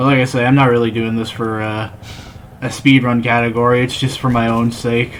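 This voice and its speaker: Over noticeable background noise, a man with an American accent talks at a fairly quick pace in a monotone, flat intonation. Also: medium pitch for a man. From Texas until age ten, then Northern Ireland. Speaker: gaming streamer. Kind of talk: casual gaming livestream commentary. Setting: live stream late at night.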